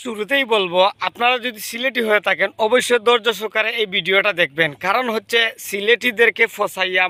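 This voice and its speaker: The man's pitch varies in an ordinary way. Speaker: YouTuber. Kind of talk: roast video. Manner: animated.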